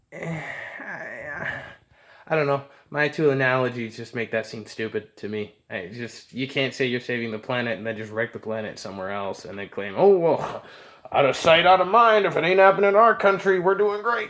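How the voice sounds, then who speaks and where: Mumbled speech at a moderate pace, with very wide pitch swings and big swings in loudness. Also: man, fairly high pitch for a man. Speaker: vlogger. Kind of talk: casual monologue. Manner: mumbling; unscripted, halting.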